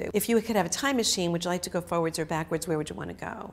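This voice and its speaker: Her voice is fairly low for a woman, with vocal fry. Pitch moves in an ordinary way. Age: 60s. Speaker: customer testimonial speaker. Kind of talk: testimony. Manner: casual, chatty with many fillers.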